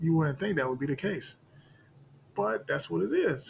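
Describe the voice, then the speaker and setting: The speaker is a man with lively intonation. His voice is somewhat breathy. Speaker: sports betting video creator. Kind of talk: casual solo commentary on betting picks.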